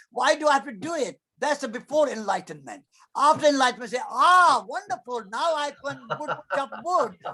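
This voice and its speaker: At an extremely high pitch, a man projects a raised voice with a bright, sharp tone, lively intonation and a moderate pace. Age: 80s. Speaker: activist and former monk. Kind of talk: interview answer.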